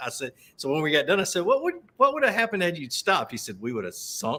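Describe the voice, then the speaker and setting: Bright and sharp in tone, a man speaks in a Southern US accent. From US South. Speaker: fishing show host. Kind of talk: casual chat. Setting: live video stream.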